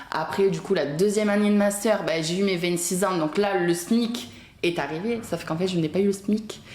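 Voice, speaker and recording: A woman with a southern French accent talks at a moderate pace and medium pitch with ordinary pitch variation, amid noticeable background noise and audible room echo. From southern France (Béziers). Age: 20s. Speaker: guest telling her life story. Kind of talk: casual chat. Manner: animated.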